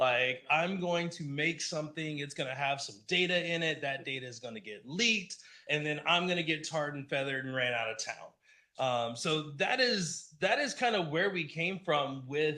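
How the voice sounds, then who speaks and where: A man speaks loudly at a moderate pace, with a fairly high pitch, ordinary pitch variation and a bright, sharp tone. Audible room echo surrounds his voice. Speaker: conference speaker, app developer. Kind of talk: talk at a user group meetup. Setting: stage with live audience, also streamed on Zoom.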